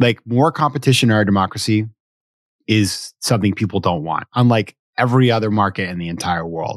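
A man's unremarkable speaking voice, fairly low in pitch with ordinary variation and an American accent, in a very clean, dry, close recording with no echo and a silent background. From US Northeast, Sanford, Maine. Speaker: venture capitalist and author. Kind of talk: casual interview conversation.

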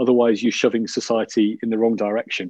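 A man speaks with a Yorkshire accent in a fairly low, dark, mellow voice at a fairly quick pace. The sound is dry and close with no echo, over a quiet background. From Yorkshire, northern England. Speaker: business executive. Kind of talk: interview conversation. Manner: halting, many fillers.

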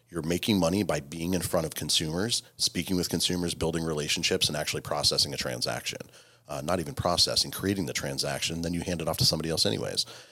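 A man with an American accent, a very deep, low pitch with vocal fry, a bright, sharp tone, ordinary pitch variation and a very fast pace. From Virginia. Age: 30s. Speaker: real estate executive. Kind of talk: casual interview.

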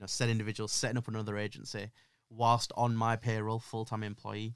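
Someone with a Yorkshire accent talks at a fairly quick pace. The intonation is monotone and flat. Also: man. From northern England, Yorkshire (Leeds area). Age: 20s. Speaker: social media marketing agency owner. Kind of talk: casual interview chat.

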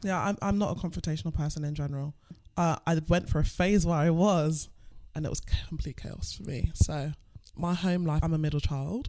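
With a London accent, a woman speaks fairly quickly in a very deep, low pitch with a dark, mellow tone. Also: ordinary pitch variation. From England. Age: 20s. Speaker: stripper. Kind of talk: casual chat.

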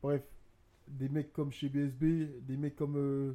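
A man speaks with a fairly high pitch. His pace is very slow. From abroad, from a war-affected home country. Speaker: business co-founder and podcast co-host. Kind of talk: casual chat. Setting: studio on a sofa with mic stands. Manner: animated.

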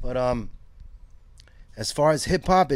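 Someone with a Brooklyn accent talks at a moderate pace with ordinary pitch variation, in a very clean recording with a silent background. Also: man. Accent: New York (Brooklyn). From Brooklyn, New York (East Flatbush, Williamsburg). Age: 50s. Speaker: skate shop owner. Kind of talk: interview. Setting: in a shop.

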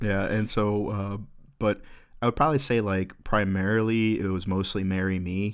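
Here is a man with an unremarkable speaking voice and an American accent. He speaks at a moderate pace, with fairly low pitch and fairly even intonation. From Florida. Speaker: podcast co-host. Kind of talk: casual banter, comedy podcast.

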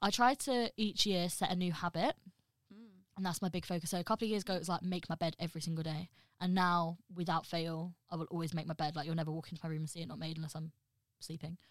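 On a very clean recording with a silent background and a dry, close sound with no echo, a woman with a slight Midlands accent talks at a very fast pace in a fairly low pitch with ordinary pitch variation. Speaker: podcast co-host. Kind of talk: casual chat among friends. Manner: energetic, animated.

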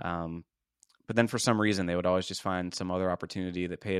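Very deep and low, a man's voice races at a very fast pace on a very clean recording with a silent background. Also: dry, close sound with no echo. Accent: American. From US, Pittsburgh area, Pennsylvania. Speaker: marketing company CEO. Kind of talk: interview. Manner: casual, conversational.

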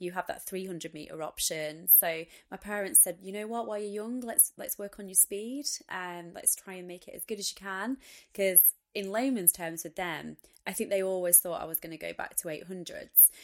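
In a very clean recording with a silent background, a woman with a Lancashire accent talks at a fairly quick pace, medium in pitch, with ordinary pitch variation. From northern England, Wigan. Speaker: retired Olympic athlete. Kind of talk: interview.

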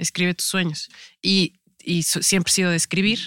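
The speaker talks at a fairly slow pace in a very clean recording with a silent background and a dry, close sound with no echo. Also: woman. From Mexico, Veracruz and Tampico. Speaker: actress. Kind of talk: casual interview chat. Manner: halting with many fillers.

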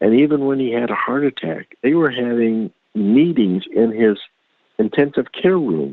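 With an American accent, a man speaks at a moderate pace. His intonation is lively. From Indiana, US Midwest. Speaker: twin brother of the story's subject's partner. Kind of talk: interview. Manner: talkative.

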